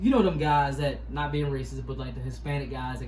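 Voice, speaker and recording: In a Baltimore accent, a man talks at a moderate pace, with noticeable background noise and audible room echo. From US, Baltimore. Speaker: YouTuber, product reviewer. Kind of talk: product review. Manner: casual, conversational with fillers.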